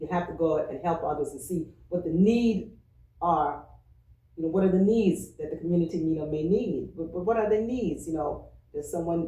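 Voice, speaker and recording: Amid audible room echo, a woman with a fairly low pitch speaks at a moderate pace in a dark, mellow, somewhat breathy tone. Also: ordinary pitch variation. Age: 60s. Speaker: church member, retired social worker. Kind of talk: oral history interview.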